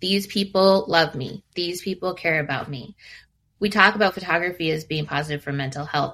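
A woman speaks at a fairly quick pace with a bright, sharp tone, a fairly low pitch and ordinary pitch variation, in a very clean recording with a silent background. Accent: West Coast. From US Pacific Northwest, Seattle. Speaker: family photographer. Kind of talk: interview.

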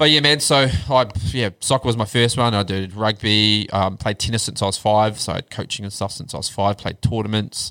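This man has a New Zealand accent and a fairly low pitch with ordinary variation. His tone is bright and sharp, and his pace is moderate. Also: very clean recording, silent background. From New Zealand, Wellington (Upper Hutt). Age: 40s. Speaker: podcast guest sharing mental health journey. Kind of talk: casual chat.

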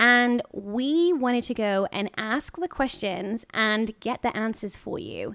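In a very clean recording with a silent background, a woman with a British accent speaks very slowly, with hardly any pauses, in a fairly high voice with ordinary pitch movement. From UK. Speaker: podcast host, actress. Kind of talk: casual chat.

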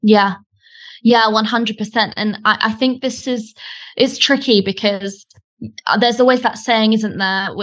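Against a quiet background, a woman with a British accent speaks in a fairly high, monotone, flat voice, leaving long, frequent pauses. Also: moderate pace. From Britain. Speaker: online business coach. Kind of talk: casual interview chat. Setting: audio call, remote.

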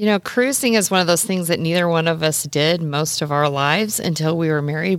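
In an American accent, a woman with a normal speaking voice talks at a fairly low pitch with ordinary pitch variation. The recording is very clean with a silent background. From US Midwest, Nebraska. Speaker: travel blogger. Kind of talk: casual chat.

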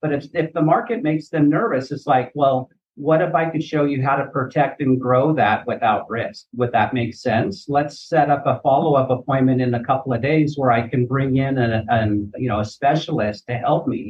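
A plain, everyday voice moves at a moderate pace with hardly any pauses. Its pitch shows ordinary variation. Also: man, fairly high pitch for a man. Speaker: annuity insurance agent. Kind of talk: podcast interview.

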